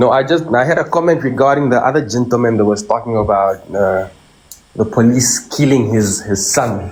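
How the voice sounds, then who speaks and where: Against noticeable background noise, a man with a South African accent speaks at a moderate pace, his loudness very even and his pitch variation ordinary. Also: medium pitch for a man. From South Africa, Cape Town. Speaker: caller. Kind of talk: call-in comment.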